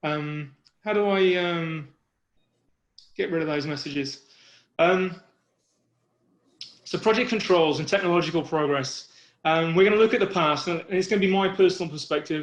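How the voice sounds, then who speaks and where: A man with a British accent speaks at a high pitch and a moderate pace. His intonation is fairly even, and he takes long, frequent pauses. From UK. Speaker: project risk manager. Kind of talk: webinar presentation. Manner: halting, many fillers.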